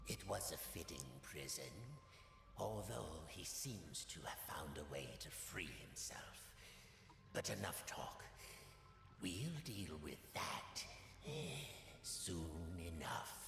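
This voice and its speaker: Whispering in a put-on character voice, a man talks at a very slow pace with long, frequent pauses amid loud background noise and a clear echo. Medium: video game. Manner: smooth, controlled.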